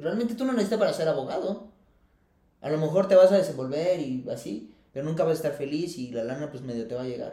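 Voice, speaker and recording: Very fast speech in a dark, mellow tone, with lively intonation and big swings in loudness. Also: man, fairly high pitch for a man. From Mexico, Querétaro. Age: 30s. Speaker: environmental consultant. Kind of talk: casual interview chat.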